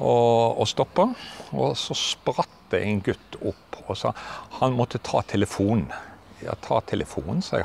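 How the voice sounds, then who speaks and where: A man's voice sounds dry with no echo, with light background noise. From Western Norway, Arna (Bergen); Western Norway. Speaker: retiring teacher. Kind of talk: casual interview. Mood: relaxed, reminiscing, amused. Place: open country. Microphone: lapel.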